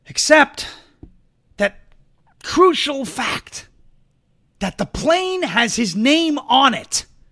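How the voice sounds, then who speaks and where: A man's raised, projected voice, extremely high in pitch, with a bright, sharp tone, an animated tone, lively intonation and long, frequent pauses. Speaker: political talk show host. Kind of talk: opinionated commentary show. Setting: studio. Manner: fast talker.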